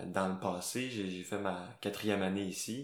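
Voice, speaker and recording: Over audible room echo, a man speaks very slowly in a very deep, low pitch with fairly even intonation. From Quebec, Gaspésie. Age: 20s. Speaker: slam poet. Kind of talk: casual interview.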